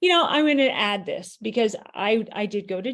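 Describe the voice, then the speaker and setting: At a fairly slow pace, a woman with an unremarkable speaking voice uses ordinary pitch variation. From US East Coast. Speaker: author and chat host. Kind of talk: casual chat.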